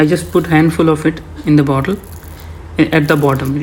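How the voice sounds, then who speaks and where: Over noticeable background noise, a man with a non-native accent speaks at a fairly high pitch and a moderate pace. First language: not English. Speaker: home gardener. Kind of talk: voice-over tutorial. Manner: hesitant, many fillers.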